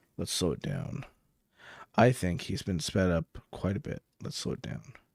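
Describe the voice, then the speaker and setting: Very clean and silent behind him, a man's voice shows vocal fry and very wide pitch swings in a dry, close sound with no echo. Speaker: streamer reacting to videos. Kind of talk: live stream reaction commentary. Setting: live stream. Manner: slow.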